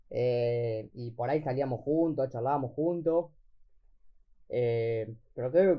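A man's fairly slow delivery, with ordinary pitch variation and an ordinary speaking voice. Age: young. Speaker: podcast co-host. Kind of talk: casual chat.

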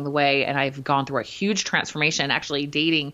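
A woman's very deep, low voice at a very fast pace, fairly even in intonation, against noticeable background noise. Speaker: podcast co-host, fitness and nutrition coach. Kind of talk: casual chat.

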